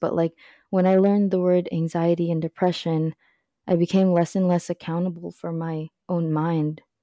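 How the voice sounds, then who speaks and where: A woman with a fairly low pitch speaks at a fairly quick pace in a monotone, flat intonation. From Philippines, moved to Alaska at eight. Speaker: podcast guest. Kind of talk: casual chat.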